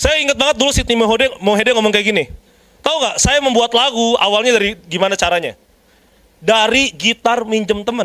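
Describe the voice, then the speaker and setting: In an animated tone, a man with a high pitch talks at a fairly quick pace with ordinary pitch variation. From Jakarta, Indonesia. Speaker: preacher. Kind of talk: sermon.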